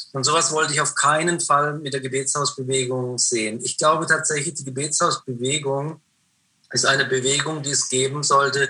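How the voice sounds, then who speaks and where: Fairly even intonation marks an ordinary speaking voice. The pace is moderate. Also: man. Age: 50s. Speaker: prayer house founder and author. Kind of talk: interview conversation. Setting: remote call.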